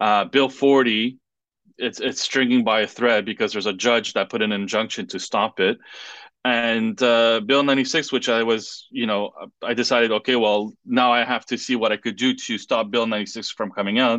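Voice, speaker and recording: In a French accent, a man speaks at medium pitch and a moderate pace. His intonation is monotone and flat, over a quiet background. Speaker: political candidate. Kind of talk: interview. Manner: halting.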